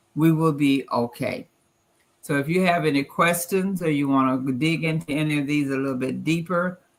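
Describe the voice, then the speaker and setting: Speaking in a Southern US accent, a woman uses a very deep, low pitch with ordinary pitch variation at a moderate pace. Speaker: financial presenter. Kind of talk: presentation.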